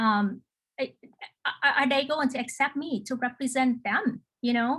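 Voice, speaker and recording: Speaking at a moderate pace, a woman has a non-native accent. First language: not English. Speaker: local elected official, panelist. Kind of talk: panel discussion. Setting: video call webinar. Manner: halting, many fillers and repetitions.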